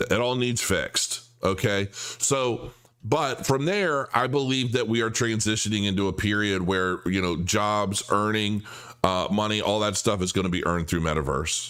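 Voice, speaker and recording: A man with an ordinary speaking voice talks at a moderate pace in a fairly low pitch, with ordinary pitch variation and very even loudness. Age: middle-aged. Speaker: crypto livestream host. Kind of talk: live stream chat reading viewer comments. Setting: live stream.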